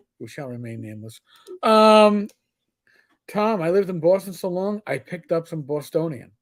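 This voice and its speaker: Speaking with a New York accent, a man uses a high pitch with very wide swings and long, frequent pauses on a very clean recording with a silent background. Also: moderate pace, big swings in loudness. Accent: New York accent, noticeable. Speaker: podcast host. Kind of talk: casual chat.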